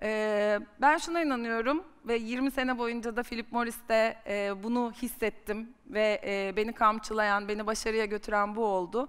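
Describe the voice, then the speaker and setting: Her intonation fairly even, a woman talks against a quiet background. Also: fairly slow pace. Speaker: marketing executive; guest, sales executive. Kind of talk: personal career story on stage. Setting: conference stage with audience. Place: stage. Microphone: headset.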